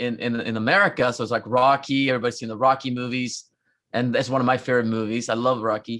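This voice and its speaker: Fairly even intonation carries speech that runs at a very fast pace. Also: man. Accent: Norwegian. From Norway, Trondheim. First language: Norwegian. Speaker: rock musician. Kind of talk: casual interview chat. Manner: halting, many fillers.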